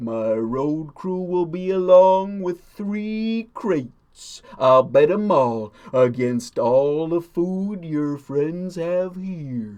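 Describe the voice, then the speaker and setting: Putting on a character voice, this man pitches himself high. His words come out at a very slow pace. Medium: read story. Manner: terse, speaks in rhymes.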